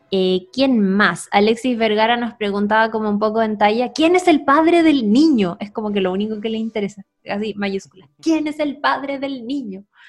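With a Chilean accent, a woman talks at a moderate pace and with lively intonation. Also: fairly high pitch for a woman. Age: 30s. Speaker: podcast co-host. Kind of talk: casual chat.

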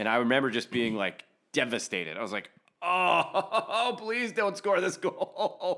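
A man's raised, projected voice, high-pitched with a bright, sharp tone, very wide pitch swings and a fairly slow pace. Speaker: podcast co-host. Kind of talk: casual chat.

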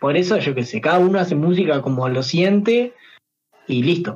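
A man with a Uruguayan accent, fairly high in pitch, with lively intonation. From Uruguay, San José. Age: 20s. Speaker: singer and streamer. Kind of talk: casual chat.

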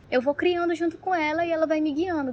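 A woman talks at a fairly quick pace. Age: 20s. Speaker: tattoo artist. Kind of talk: casual explanation.

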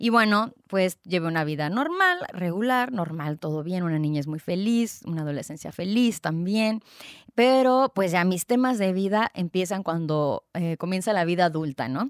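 With an animated tone and lively intonation, a woman talks at a medium pitch and a moderate pace, the sound dry and close with no echo. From Mexico, Tijuana (Baja California). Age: 30s. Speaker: podcast host, health coach. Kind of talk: solo podcast monologue. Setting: recorded on video.

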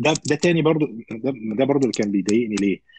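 Moving at a fairly quick pace, a man with a dark, mellow tone swings his pitch very widely. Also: dry, close sound with no echo. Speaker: medical resident physician. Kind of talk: casual interview.

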